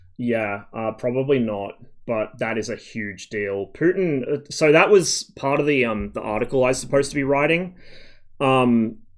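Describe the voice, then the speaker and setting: The man's pitch is medium with ordinary variation, and he keeps a moderate pace. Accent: Australian. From Canada, then England (Lancashire, Berkshire), then Australia. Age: 30s. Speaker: game streamer. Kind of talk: casual chat. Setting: live stream.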